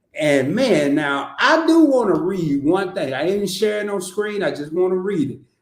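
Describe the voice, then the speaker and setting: Speaking with a Southern US accent, a man sounds animated, with high pitch and lively intonation. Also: moderate pace, hardly any pauses. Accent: Southern country. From US South, Arkansas. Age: 50s. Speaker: content creator. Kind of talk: casual chat. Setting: live stream.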